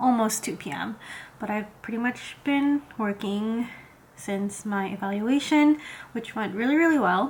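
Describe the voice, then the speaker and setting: A woman's somewhat breathy voice moves at a fairly slow pace, with ordinary pitch variation. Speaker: vlogger. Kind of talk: casual vlog talk. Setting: at home. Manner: casual, filler-heavy.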